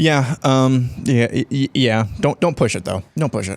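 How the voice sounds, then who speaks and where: Using a plain, everyday voice, a man speaks at a fairly slow pace and a medium pitch with lively intonation. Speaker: podcast co-host.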